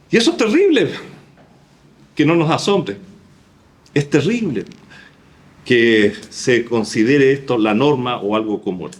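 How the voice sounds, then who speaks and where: Long, frequent pauses mark a man's fairly slow delivery. His medium-pitched voice moves in very wide pitch swings. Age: 60s. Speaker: pastor. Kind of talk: sermon.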